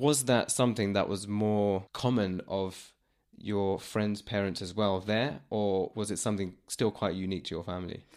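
On a very clean recording with a silent background, a man with an ordinary speaking voice and fairly low pitch talks at a moderate pace with fairly even intonation. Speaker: podcast host. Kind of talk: interview. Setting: studio, face to face.

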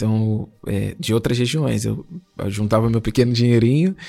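With a dark, mellow tone, a man at a medium pitch speaks at a fairly quick pace. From Brazil, Duque de Caxias, Rio de Janeiro. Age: 20s. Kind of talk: testimony.

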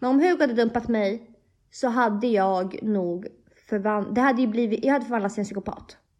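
Speaking fairly quickly in a normal speaking voice, a woman keeps a fairly high pitch and ordinary pitch variation. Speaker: podcast co-host. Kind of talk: casual chat.

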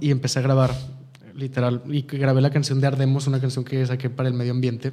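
A man with a Mexican accent speaks very fast at a fairly high pitch. Noticeable background noise runs underneath. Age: 20s. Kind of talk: interview.

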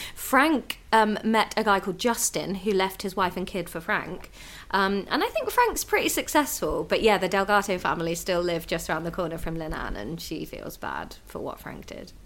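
Through noticeable background noise, a woman with a British accent and medium pitch speaks at a moderate pace with hardly any pauses, lively intonation, and big swings in loudness. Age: 30s. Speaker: stand-up comedian. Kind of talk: casual chat.

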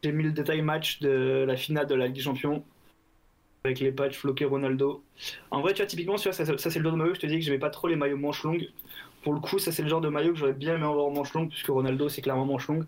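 A man talks at a very fast pace in a fairly high voice. His intonation stays fairly even. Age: 20s. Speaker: football shirt collector. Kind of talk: casual interview.

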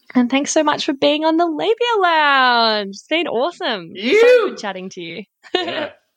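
The speaker has an Australian accent. The pitch swings very widely. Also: woman, high pitch for a woman, moderate pace. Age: 30s. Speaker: podcast host, sex coach. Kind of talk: casual chat; scripted intro/outro.

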